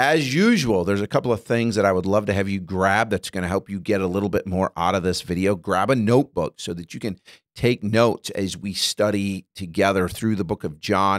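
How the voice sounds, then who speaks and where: Over a quiet background, a man with a fairly low pitch and ordinary pitch variation speaks at a fairly quick pace. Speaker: bible study teacher. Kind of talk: tutorial. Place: studio. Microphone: studio mic.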